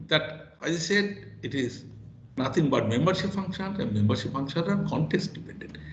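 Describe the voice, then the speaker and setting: A man's high voice swings very widely in pitch at a moderate pace. Room echo can be heard. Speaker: professor. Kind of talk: lecture. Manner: halting.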